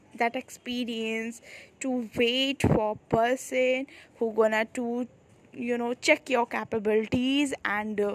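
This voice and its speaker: In a dry, close recording with no echo, a woman speaks very slowly at a fairly high pitch with monotone, flat intonation. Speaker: podcast host. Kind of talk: casual monologue. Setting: outdoors on a terrace. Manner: halting, many fillers.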